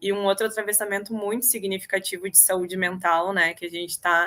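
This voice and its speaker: Her tone bright and sharp, a woman speaks at a moderate pace in a flat, monotone way. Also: very clean recording, silent background. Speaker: state health official. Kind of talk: panel presentation.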